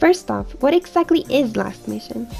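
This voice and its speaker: A woman talks at a fairly quick pace. Background music plays behind her. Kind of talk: game guide narration.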